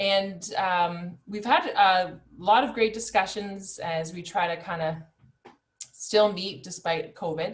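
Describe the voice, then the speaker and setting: At a very slow pace, a woman speaks in a medium pitch with ordinary pitch variation and big swings in loudness. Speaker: webinar organizer. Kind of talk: online webinar introduction. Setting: video call.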